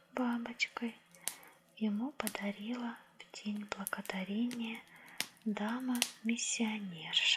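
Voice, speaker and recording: A woman speaks very slowly in a soft, calm voice with a fairly high pitch. Her intonation stays fairly even, and there is noticeable background noise. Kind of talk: audiobook-style story reading, ASMR. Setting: cozy indoor reading with crackling fireplace sounds. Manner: soft-spoken, calm, measured.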